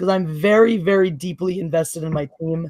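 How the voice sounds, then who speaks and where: Her voice is fairly low and somewhat breathy. The woman talks at a fairly quick pace. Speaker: football show host. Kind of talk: casual chat. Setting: live stream.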